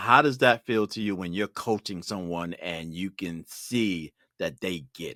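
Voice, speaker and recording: A man with an American accent speaks at a fairly slow pace in a very deep, low voice with a bright, sharp tone. The recording is very clean, with a silent background and a dry, close sound with no echo. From Brooklyn, New York. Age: 60s. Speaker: podcast host. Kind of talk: podcast interview.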